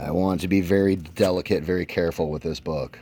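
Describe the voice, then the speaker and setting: A man's voice sits very deep and low, with a dark, mellow tone. His intonation is fairly even, and the voice is shaky. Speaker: comic book youtuber. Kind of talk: casual show-and-tell video. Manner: shaky voice.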